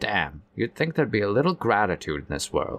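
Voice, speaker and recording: A man puts on a character voice at a fairly low pitch, with very wide pitch swings and hissing. He talks at a fairly quick pace. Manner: hissing, irritated.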